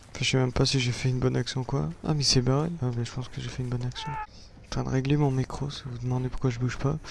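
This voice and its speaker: Over noticeable background noise, a man speaks at a very fast pace with hardly any pauses, holding a medium pitch and fairly even intonation. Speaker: gaming youtuber. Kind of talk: gameplay commentary.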